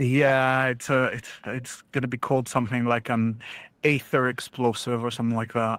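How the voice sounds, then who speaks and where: The recording is very clean, with a silent background. The speech moves at a moderate pace with a flat, monotone intonation. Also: man, medium pitch for a man. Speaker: podcast host. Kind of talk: casual chat. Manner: halting, many fillers.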